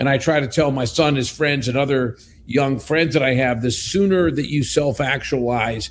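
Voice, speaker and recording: A man with an American accent speaks at a moderate pace in a plain, everyday voice, medium in pitch with ordinary pitch variation. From US, southwestern Pennsylvania. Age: 60s. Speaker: company executive. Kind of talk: casual chat.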